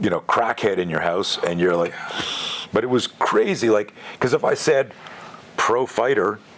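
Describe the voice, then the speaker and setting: Against noticeable background noise, a man speaks in an animated tone at a moderate pace. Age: 60s. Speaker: self-defense instructor. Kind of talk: interview.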